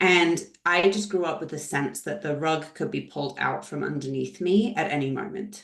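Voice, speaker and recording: Her fairly low voice carries vocal fry as the woman talks at a moderate pace with lively intonation. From Scotland. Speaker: leadership trainer. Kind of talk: webinar presentation. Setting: video call webinar.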